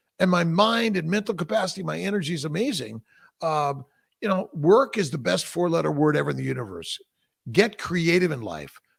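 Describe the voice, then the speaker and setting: Speaking in an animated tone at a fairly quick pace, a high-pitched man swings his pitch very widely. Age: 60s. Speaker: fertility doctor. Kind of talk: casual interview. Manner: halting.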